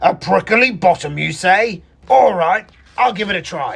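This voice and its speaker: A put-on character voice growls along at a moderate pace. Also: man, high pitch for a man. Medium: read story. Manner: growling, greedy.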